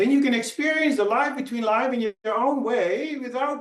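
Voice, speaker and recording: Audible room echo surrounds a man's voice. His extremely high pitch carries lively intonation. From Netherlands. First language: Dutch. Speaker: hypnotherapist. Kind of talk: conference talk.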